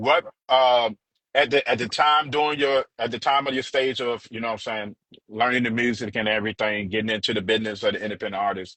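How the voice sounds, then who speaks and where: A man with an American accent, a plain, everyday voice, medium pitch, fairly even intonation and a fairly quick pace. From Charlotte, US South. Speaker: radio DJ and interviewer. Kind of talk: interview. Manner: casual.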